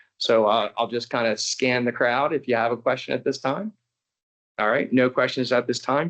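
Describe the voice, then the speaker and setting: Over a quiet background, the voice holds very even loudness and fairly even intonation. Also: man, medium pitch for a man. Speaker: district manager chairing a public board meeting. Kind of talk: formal public meeting. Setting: meeting room with board and residents. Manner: fast.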